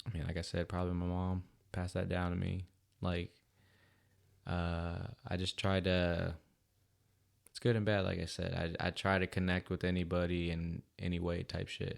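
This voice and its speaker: In a very clean recording with a silent background, a man speaks at a very deep, low pitch in a monotone, flat intonation, leaving long, frequent pauses. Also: moderate pace. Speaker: podcast host. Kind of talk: casual chat. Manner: loud.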